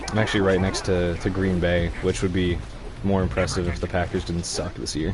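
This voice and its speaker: Marked by audible room echo, a man with an American accent speaks at a fairly quick pace, his very deep, low voice monotone and flat. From US Midwest, Wisconsin. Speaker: gaming streamer. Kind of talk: casual gameplay commentary. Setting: live stream. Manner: hesitant, many fillers.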